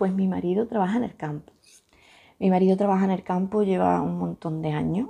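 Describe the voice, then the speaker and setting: In a quiet background, a woman with an Andalusian accent talks at a fairly quick pace. Her tone is dark and mellow, her intonation fairly even. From Andalucía, Huelva province (Sierra de Huelva village); Andalucía, Spain. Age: 20s. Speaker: YouTuber, stay-at-home mother; YouTuber. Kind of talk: casual Q&A vlog. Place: home room. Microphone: phone near.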